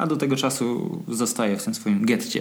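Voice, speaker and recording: The man's intonation is lively. His voice carries audible room echo. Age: 30s. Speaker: running coach. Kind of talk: casual chat.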